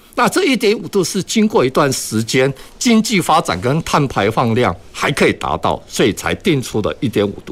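Very wide pitch swings, vocal fry, and hardly any pauses. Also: man, moderate pace. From Taiwan, Kaohsiung. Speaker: architect, green energy industry association chairman. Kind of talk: radio panel discussion. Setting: radio studio, live broadcast.

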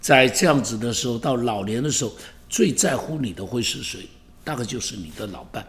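Audible room echo surrounds a man's medium-pitched voice. He sounds somewhat breathy, with lively intonation. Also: moderate pace. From Taiwan. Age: 70s. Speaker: pastor. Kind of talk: podcast monologue. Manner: animated.

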